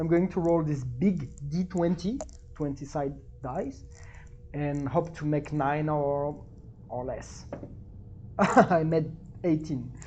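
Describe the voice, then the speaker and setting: Speaking very slowly with long, frequent pauses, a woman with a French accent uses a very deep, low pitch and ordinary pitch variation. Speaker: tabletop gaming YouTuber. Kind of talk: solo game play-through with reading aloud. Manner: animated; halting.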